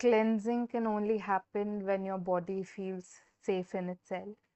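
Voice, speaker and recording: A woman with an Indian accent at a very slow pace, medium in pitch, with fairly even intonation. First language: Hindi. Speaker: tarot reader. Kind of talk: live stream tarot reading. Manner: hesitant, many fillers.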